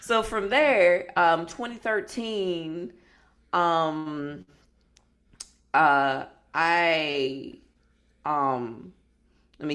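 Lively intonation in an American accent, with long, frequent pauses on a very clean recording with a silent background. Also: woman. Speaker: founder of a martial arts community group. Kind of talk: casual chat. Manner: loud.

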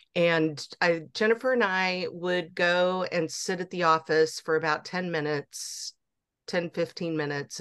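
With a fairly low pitch and ordinary pitch variation, a woman speaks in an ordinary speaking voice over a quiet background. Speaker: adoptee therapist and counselor guest. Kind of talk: casual interview conversation.

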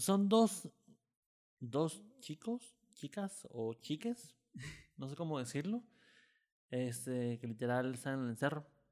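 A man talks at a very slow pace with long, frequent pauses and very wide pitch swings. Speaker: podcast host. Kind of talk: casual interview. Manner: halting, stammers.

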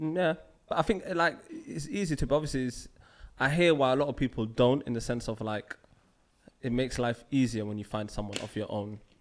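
Here a man of medium pitch speaks at a fairly quick pace with lively intonation. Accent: London. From London. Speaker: podcast host. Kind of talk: casual chat.

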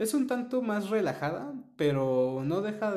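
Against noticeable background noise, a man talks at a very slow pace while his pitch swings very widely. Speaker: podcast co-host. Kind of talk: casual chat.

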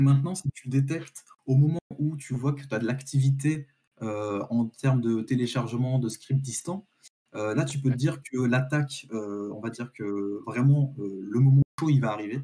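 Somewhat breathy, with a dark, mellow tone, a man at a medium pitch talks at a fairly slow pace with ordinary pitch variation. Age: 20s. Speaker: IT student and work-study apprentice. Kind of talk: live-streamed tech discussion. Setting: live stream.

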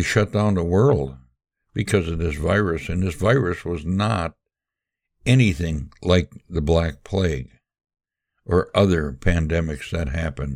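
A man with a very deep, low pitch and vocal fry talks at a fairly slow pace, with ordinary pitch variation. He leaves long, frequent pauses in a very clean recording with a silent background. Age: 80s+. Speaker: podcast host. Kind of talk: solo monologue commentary. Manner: halting, many filler words.

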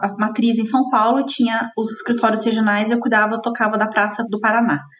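Music plays in the background behind a woman's voice. She is fairly high-pitched with fairly even intonation. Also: hardly any pauses. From southern Minas Gerais, Brazil. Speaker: head of marketing. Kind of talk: interview.

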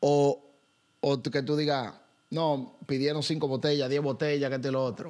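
A man's ordinary speaking voice, fairly high in pitch, with fairly even intonation. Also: fairly slow pace. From Dominican Republic. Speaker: podcast host. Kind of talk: casual interview.

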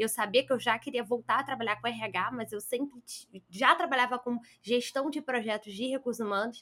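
This woman has a high voice and a fairly quick pace. Her pitch varies in an ordinary way. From Brazil, Rio de Janeiro. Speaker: career consultant and headhunter. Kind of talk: interview.

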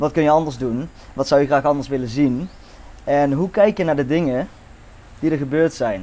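At a moderate pace, a dark, mellow voice moves with ordinary pitch variation and long, frequent pauses. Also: man, fairly high pitch for a man. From Netherlands. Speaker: podcast guest, friend of the host. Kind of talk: casual chat.

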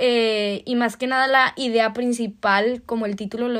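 In a very clean recording with a silent background, a woman with a high pitch speaks at a fairly slow pace. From Mexico, Torreón, Coahuila. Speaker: podcast host, au pair. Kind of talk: casual monologue.

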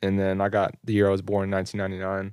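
A man with an American accent speaks at a fairly low pitch and a moderate pace in a monotone, flat way, on a very clean recording with a silent background. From Texas, Carrollton. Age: 20s. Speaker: clothing entrepreneur and YouTuber. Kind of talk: casual chat. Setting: studio.

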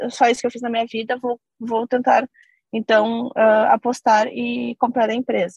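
Fairly high in pitch, a woman speaks at a fairly slow pace. It is a normal speaking voice, with a dry, close sound and no echo. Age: 30s. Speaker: company CEO. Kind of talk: interview.

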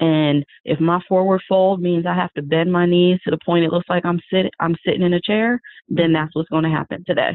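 A woman speaks at a fairly quick pace in an unremarkable speaking voice with a fairly low pitch. Her intonation is fairly even and her loudness very even. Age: 40s. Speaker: math teacher and yoga author. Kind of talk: casual interview.

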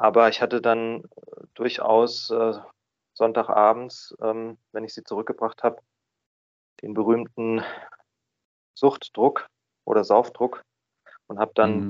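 A man speaks at a very slow pace with long, frequent pauses and flat, monotone intonation. His loudness swings widely, and the sound is dry and close with no echo. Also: medium pitch for a man. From Baden, southwest Germany (Freiburg). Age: 30s. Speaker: recovering drinker, office employee. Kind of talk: interview. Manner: hesitant, many filler sounds.

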